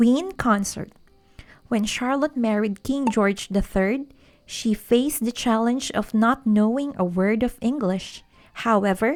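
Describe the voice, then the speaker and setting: Someone with a non-native accent speaks at a fairly slow pace on a very clean recording with a silent background. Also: woman. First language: not English. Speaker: history channel narrator. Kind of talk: history documentary narration.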